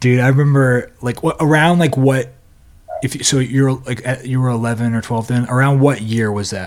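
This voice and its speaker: This man has an unremarkable speaking voice at medium pitch. He keeps a moderate pace with fairly even intonation. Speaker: podcast host. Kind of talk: casual chat, interview.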